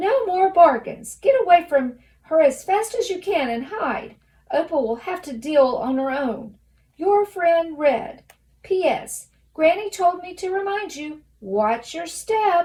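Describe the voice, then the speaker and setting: Shouting in a put-on character voice, a woman hits an extremely high pitch while keeping a fairly slow pace. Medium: read story. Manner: half shouting, eager.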